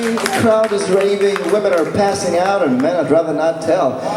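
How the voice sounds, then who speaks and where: A man speaks with a high pitch. Noticeable background noise and audible room echo surround his voice. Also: very even loudness. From Lithuania. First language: Lithuanian. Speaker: blues musician. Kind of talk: workshop. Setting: stage with audience.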